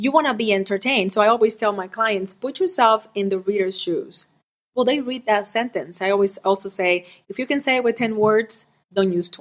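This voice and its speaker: A woman with a Spanish accent talks at a fairly quick pace, her fairly high voice rising and falling in an ordinary way. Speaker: author and writing coach. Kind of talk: podcast interview. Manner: animated.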